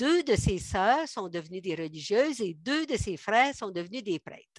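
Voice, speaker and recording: A woman with a Quebec accent at a fairly slow pace, very wide pitch swings, dry, close sound with no echo. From Quebec, Montérégie. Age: 70s. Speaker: guest giving a faith testimony. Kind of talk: testimony. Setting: video call.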